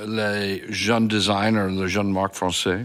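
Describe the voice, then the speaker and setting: Speaking very slowly, a man uses a fairly low voice with ordinary pitch variation. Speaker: fashion journalist interviewer. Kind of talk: interview.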